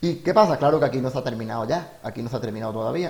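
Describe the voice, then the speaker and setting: The man's voice is somewhat breathy and at medium pitch, with lively intonation. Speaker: teacher. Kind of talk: tutorial. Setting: home during lockdown. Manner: fast.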